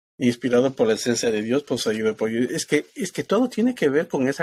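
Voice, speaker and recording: A plain, everyday voice moves at a fairly quick pace with ordinary pitch variation, recorded dry and close with no echo on a very clean recording with a silent background. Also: man. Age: 50s. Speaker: spiritual ministry host. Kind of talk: spiritual talk show chat.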